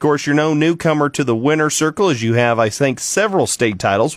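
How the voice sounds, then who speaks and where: With an ordinary speaking voice, a man talks at a fairly quick pace in a fairly high pitch, his intonation lively and the recording very clean over a silent background. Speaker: radio interviewer / host. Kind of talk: radio interview questions.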